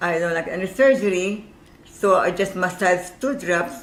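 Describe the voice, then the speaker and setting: Noticeable background noise and audible room echo surround a woman of medium pitch speaking with a Filipino accent. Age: 80s+. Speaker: caller. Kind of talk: testimony.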